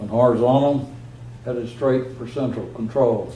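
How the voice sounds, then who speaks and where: A man's medium-pitched, monotone voice with flat intonation, at a moderate pace, over noticeable background noise. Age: 80s+. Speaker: retired space program launch engineer. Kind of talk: public talk to an audience. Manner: casual, anecdotal, with frequent hesitations.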